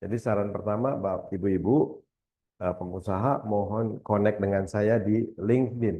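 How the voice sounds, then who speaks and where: A man's fairly low, dark, mellow voice at a fairly slow pace. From West Java, Indonesia (Bogor). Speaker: university lecturer, keynote speaker. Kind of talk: seminar presentation. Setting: hybrid seminar with live audience and Zoom.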